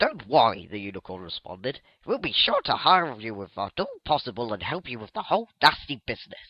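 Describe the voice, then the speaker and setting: Using a put-on character voice, a man talks at a medium pitch and a fairly quick pace, with hardly any pauses. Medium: read story. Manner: courteous, soothing.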